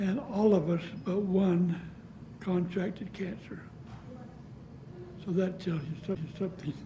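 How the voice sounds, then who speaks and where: A man with an American accent speaks in a high pitch at a fairly slow pace, with fairly even intonation and long, frequent pauses. The recording has audible room echo and noticeable background noise. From US West, southeastern Utah. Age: 80s+. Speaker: downwinder and author. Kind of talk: oral history interview. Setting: public library.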